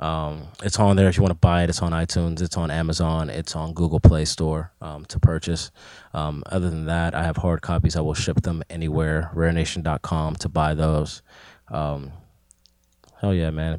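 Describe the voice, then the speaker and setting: On a very clean recording with a silent background, a man with a Pittsburgh accent speaks at a moderate pace in a very deep, low voice with a dark, mellow tone and monotone, flat intonation. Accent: Pittsburgh urban American English. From Pittsburgh area, western Pennsylvania (McKeesport). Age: 20s. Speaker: rapper. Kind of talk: casual chat.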